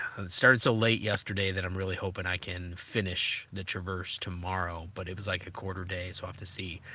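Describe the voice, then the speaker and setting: Speaking at a fairly quick pace, a man has a very deep, low pitch, a monotone, flat intonation and a bright, sharp tone. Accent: slight Minnesota. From Minnesota. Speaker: adventure motorcycle vlogger. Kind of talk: live stream chat with viewers. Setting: in a tent while camping. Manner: casual, hesitant with many fillers.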